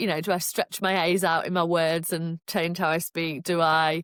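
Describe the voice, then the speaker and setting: A woman with a Yorkshire accent at a moderate pace, in a very clean recording with a silent background, dry and close with no echo. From Yorkshire, northern England. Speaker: podcast co-host. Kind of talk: casual chat.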